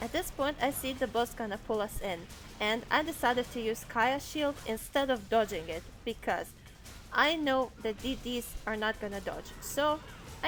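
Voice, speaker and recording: A woman's high voice with a non-native accent, ordinary pitch variation and a moderate pace, music in the background. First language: not English. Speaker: game guide narrator. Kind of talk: gameplay tutorial voice-over.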